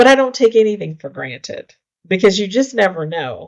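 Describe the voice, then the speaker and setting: A woman in an American accent talks at a moderate pace with lively intonation and a normal speaking voice. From rural United States. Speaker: mayor and real estate entrepreneur. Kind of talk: interview answer.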